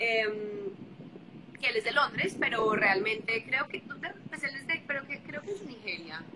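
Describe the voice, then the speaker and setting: A woman's fairly high voice, lively in intonation and fairly slow, over noticeable background noise. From Colombia, Bogotá. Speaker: singer. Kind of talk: interview.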